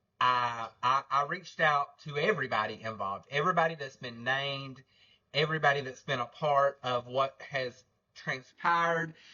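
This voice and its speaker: In an Alabama accent, a man talks at a moderate pace with a fairly high pitch and ordinary pitch variation. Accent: Southern US (Alabama). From North Alabama. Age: 30s. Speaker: podcast host, livestreamer. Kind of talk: livestream commentary. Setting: livestream. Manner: loud; casual, filler-heavy.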